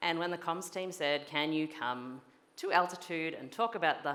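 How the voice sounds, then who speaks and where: A fairly low-pitched woman's voice at a fairly quick pace, with audible room echo. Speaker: engineering executive giving a conference keynote. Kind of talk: conference keynote talk. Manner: fast.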